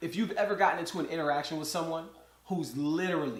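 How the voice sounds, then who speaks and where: A man with a high pitch talks at a fairly quick pace and with fairly even intonation. Audible room echo and noticeable background noise run through the clip. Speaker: podcast host. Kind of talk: solo monologue commentary.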